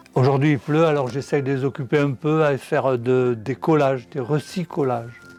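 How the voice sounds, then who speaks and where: Music plays in the background. A man speaks at a medium pitch with fairly even intonation. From southwest France. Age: 80s+. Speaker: retired painter, grandfather. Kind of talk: casual chat.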